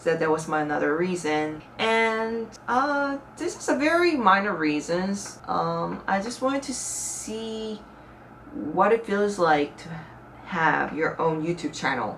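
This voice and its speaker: In a room with audible echo, a woman with a Korean accent speaks at a very slow pace and medium pitch, her pitch swinging very widely. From South Korea. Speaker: YouTuber. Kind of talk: casual vlog talk to camera. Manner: conversational, with fillers.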